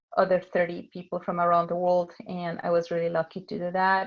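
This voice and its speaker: Her voice sits at a fairly low pitch for a woman. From Mexico City. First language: Spanish. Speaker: tech sales director. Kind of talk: talk with slides. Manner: hesitant, many fillers.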